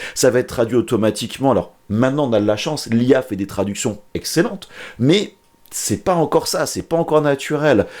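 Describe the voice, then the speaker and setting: Fairly quick, lively male speech at a medium pitch, on a very clean recording with a silent background. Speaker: YouTuber, maker tutorial creator. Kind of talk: casual vlog monologue. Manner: fast, swallows words; many fillers and repetitions.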